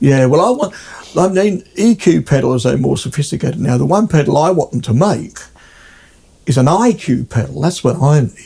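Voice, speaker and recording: A man with an Australian accent, fairly high in pitch, at a moderate pace with lively intonation and very even loudness. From South Australia (Adelaide), born in England. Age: 70s. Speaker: guitarist. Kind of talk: casual chat. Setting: at his home.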